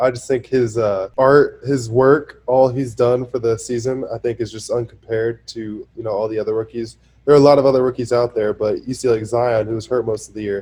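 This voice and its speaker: At a fairly quick pace with hardly any pauses, a man speaks in a somewhat breathy, dark, mellow tone, his medium pitch kept in a monotone, flat intonation. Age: 20s. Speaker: professional basketball player. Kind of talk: casual interview.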